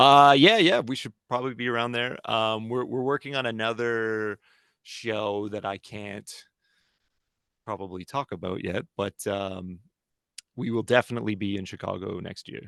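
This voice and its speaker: A man at a medium pitch with a Canadian accent, a bright, sharp tone and ordinary pitch variation, at a moderate pace, dry and close with no echo against a quiet background. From Canada. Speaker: heavy metal band vocalist. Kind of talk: interview. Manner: hesitant, many fillers.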